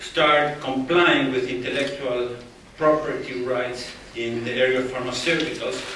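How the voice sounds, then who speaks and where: A man with an Argentine accent speaks at a very slow pace and a fairly high pitch. The recording has audible room echo and noticeable background noise. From Argentina. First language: Spanish. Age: 50s. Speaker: think tank president, invited speaker. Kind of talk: lecture.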